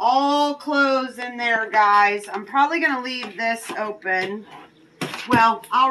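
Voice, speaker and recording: A woman's voice with ordinary pitch variation and noticeable background noise. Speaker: storage unit reseller. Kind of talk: casual vlog chat. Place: street. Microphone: phone near.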